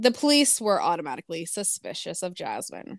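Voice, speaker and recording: A woman speaks at a fairly quick pace in a plain, everyday voice of medium pitch. The recording is very clean, with a silent background and a dry, close sound with no echo. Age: 20s. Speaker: podcast co-host. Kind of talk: true crime narration; casual chat.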